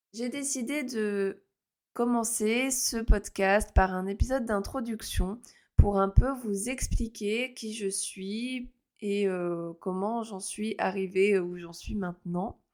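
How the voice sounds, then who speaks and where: Over a silent background in a very clean recording, a woman with a fairly high pitch speaks at a very slow pace, her pitch varying in an ordinary way and her loudness swinging widely. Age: 30s. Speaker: astrologer, podcast host. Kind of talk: casual solo podcast monologue. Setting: recording alone. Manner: hesitant, many fillers.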